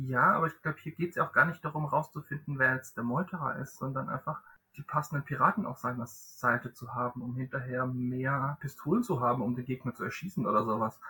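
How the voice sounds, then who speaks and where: This man has an ordinary speaking voice at a medium pitch, with ordinary pitch variation. He talks at a fairly quick pace with hardly any pauses. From southern Germany. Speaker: board game podcast host. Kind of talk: casual chat.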